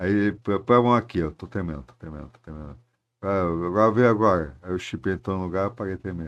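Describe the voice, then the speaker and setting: Very deep, low male speech at a fairly quick pace, with ordinary pitch variation against a quiet background. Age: 70s. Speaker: Parkinson's patient and rowing project leader. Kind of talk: podcast interview. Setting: studio. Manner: halting, repetitive.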